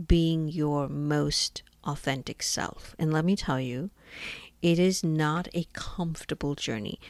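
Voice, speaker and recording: A woman's fairly low voice at a fairly slow pace, animated in tone, with lively intonation. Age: 50s. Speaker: podcast host. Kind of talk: monologue podcast.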